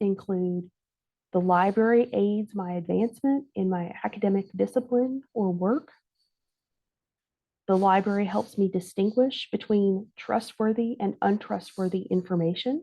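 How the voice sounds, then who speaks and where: A woman's voice carries a dark, mellow tone with ordinary pitch variation. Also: medium pitch for a woman. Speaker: library assessment director. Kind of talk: conference presentation. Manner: very slow.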